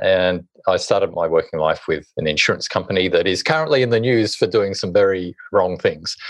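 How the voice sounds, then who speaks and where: With an Australian accent, a man talks at a fairly quick pace with hardly any pauses. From Hobart, Tasmania, Australia. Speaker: author and social impact consultant. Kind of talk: interview.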